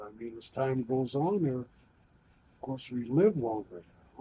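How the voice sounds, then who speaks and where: Speaking at a moderate pace, a man with a medium-pitched, somewhat breathy voice uses lively intonation. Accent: American. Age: 70s. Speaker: war veteran. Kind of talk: oral history interview. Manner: halting.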